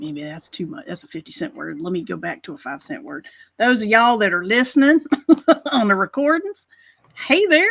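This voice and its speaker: A woman with an American accent speaks fairly quickly at a fairly high pitch, with very wide pitch swings and vocal fry. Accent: Carolina accent, can switch to northern. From US South, Carolina. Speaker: talk show co-host. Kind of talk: casual chat. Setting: live stream show. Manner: animated.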